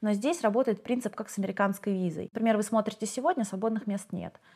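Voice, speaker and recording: A woman talks very fast in a fairly high, somewhat breathy voice with ordinary pitch variation. The recording is very clean, with a silent background. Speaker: relocated expat. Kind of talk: casual interview chat.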